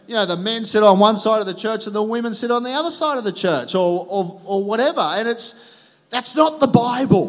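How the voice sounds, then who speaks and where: A man with an Australian accent talks at a moderate pace in a high voice with ordinary pitch variation. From Australia, Sydney northern beaches. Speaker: pastor. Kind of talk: sermon. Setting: church.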